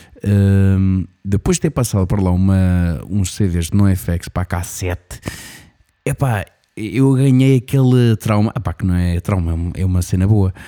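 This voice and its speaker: In a European Portuguese accent, a man speaks fairly slowly at a very deep, low pitch with ordinary pitch variation, in a dry, close sound with no echo. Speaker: radio show host. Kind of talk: casual interview and show hosting. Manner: animated.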